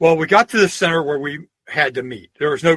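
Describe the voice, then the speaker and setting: A man's high-pitched voice at a moderate pace, dry and close with no echo. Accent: American. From Pennsylvania. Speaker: historian and folklorist. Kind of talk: podcast interview.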